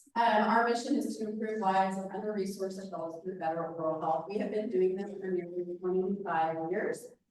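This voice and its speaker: With audible room echo, a woman at medium pitch talks at a fairly quick pace, hardly pausing, her intonation fairly even. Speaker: nonprofit dental clinic director. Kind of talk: presentation to a club meeting. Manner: loud.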